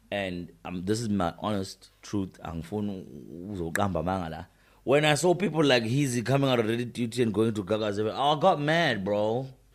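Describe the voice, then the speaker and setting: Quick-paced and with lively intonation, a man speaks in a fairly low pitch with a Zulu accent. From South Africa, KwaZulu-Natal. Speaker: radio presenter. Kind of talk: interview. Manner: casual, code-switching Zulu and English.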